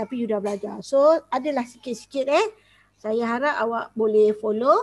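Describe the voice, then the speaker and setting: A woman's fairly high voice at a moderate pace with ordinary pitch variation, dry with no echo, over a quiet background. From Malaysia. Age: 40s. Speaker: school teacher. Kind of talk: online class. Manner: code-switching Malay and English. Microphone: headset.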